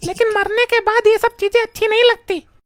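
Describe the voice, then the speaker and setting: A woman does a squeaky, cartoonish character voice at an extremely high pitch, with monotone, flat intonation, very even loudness and a moderate pace, in a dry, close sound with no echo. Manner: indignant.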